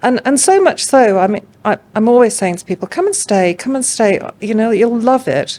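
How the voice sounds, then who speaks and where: A dark, mellow tone carries an English accent at a moderate pace. The pitch swings very widely, with hardly any pauses. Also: woman, fairly high pitch for a woman. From England. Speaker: art curator. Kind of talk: podcast interview. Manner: hesitant, many fillers.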